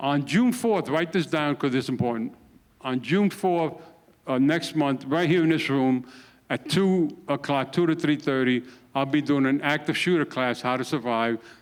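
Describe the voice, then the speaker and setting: A man with an American accent, a moderate pace, ordinary pitch variation, and very even loudness. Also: fairly high pitch for a man. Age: 60s. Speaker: retired police sergeant, firearms instructor. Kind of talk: safety presentation. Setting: community room with live audience. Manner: animated.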